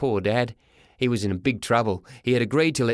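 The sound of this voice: In an unforced reading voice, the pitch shifts in an ordinary way.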